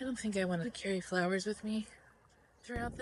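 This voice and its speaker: A woman mumbling over noticeable background noise. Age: 40s. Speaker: vlogger. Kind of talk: casual vlog narration.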